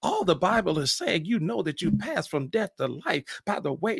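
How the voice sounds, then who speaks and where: A man speaks at a high pitch with very wide pitch swings. The sound is dry and close, without echo. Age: 60s. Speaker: pastor. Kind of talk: sermon. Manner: halting.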